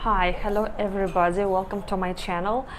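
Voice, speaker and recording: A woman with a Russian accent at a medium pitch and moderate pace, amid noticeable background noise and audible room echo. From Belarus. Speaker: vlogger. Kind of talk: casual vlog talk to camera. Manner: halting, with hesitations and restarts.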